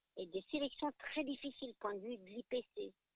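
A woman is speaking. Her intonation is lively. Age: 50s. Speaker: paralympic athlete. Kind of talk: interview. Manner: halting.

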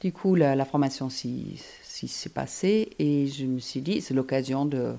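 A woman with a German accent speaks in a very deep, low pitch with a dark, mellow tone and ordinary pitch variation, recorded very cleanly against a silent background. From Germany, Hamburg. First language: German (speaking French). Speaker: energy therapist. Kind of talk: interview. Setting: on location. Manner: hesitant.

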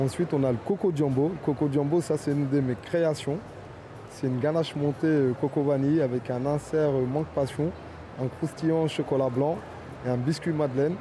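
At a moderate pace and very even loudness, a man speaks with a fairly high pitch. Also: fairly even intonation. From Paris suburbs, Fontenay-sous-Bois (Val-de-Marne). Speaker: pastry chef. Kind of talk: interview. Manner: hesitant, repetitive.

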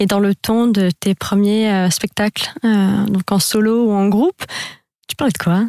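In a dry, close recording with no echo, a woman with a dark, mellow tone and a medium-pitched voice speaks at a very slow pace with fairly even intonation. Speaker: radio host. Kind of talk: radio interview. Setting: radio studio.

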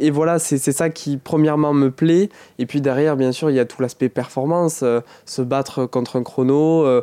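Dry and close with no echo, a man speaks at a fairly high pitch and a moderate pace, with a dark, mellow tone, fairly even intonation and very even loudness. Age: 20s. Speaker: paralympic athlete. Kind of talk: interview. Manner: halting, frequent repetitions.

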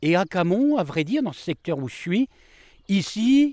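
A man at a moderate pace, very wide pitch swings, dark, mellow tone, dry, close sound with no echo, very clean recording and silent background. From northern France, Amiens area (Picardy). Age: 50s. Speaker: market gardener. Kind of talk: interview. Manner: halting, many hesitations.

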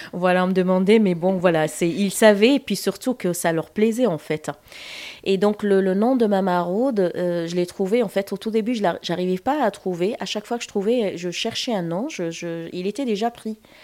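On a very clean recording with a silent background, a woman speaks at a moderate pace in a medium-pitched voice with a dark, mellow tone and ordinary pitch variation. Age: 50s. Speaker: charity founder and childminder. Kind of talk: interview. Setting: at her home. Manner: hesitant, many fillers.

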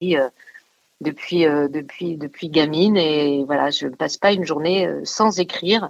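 A woman speaks at a very slow pace. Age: 40s. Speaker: actress and writer. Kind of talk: casual radio interview. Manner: animated.

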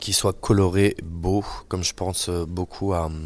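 In monotone, flat intonation, a man speaks with a very deep, low pitch. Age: 30s. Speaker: chef. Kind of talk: interview. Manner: halting.

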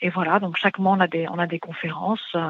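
A woman's fairly low pitch with fairly even intonation. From Middle East. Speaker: finance think tank president. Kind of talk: radio interview. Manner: halting, many fillers.

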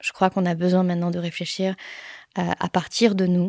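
A woman's fairly low, dark, mellow voice at a moderate pace, monotone, flat, in a very clean recording with a silent background and a dry, close sound with no echo. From France, Paris suburbs and Pyrénées-Orientales. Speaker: hydrologist. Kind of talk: interview testimony. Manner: hesitant, many fillers.

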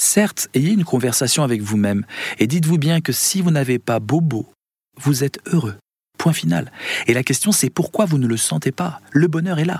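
At a moderate pace, a somewhat breathy voice is heard in a dry, close sound with no echo. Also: man, fairly high pitch for a man, lively intonation. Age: 50s. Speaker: philosopher and musician. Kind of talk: radio interview.

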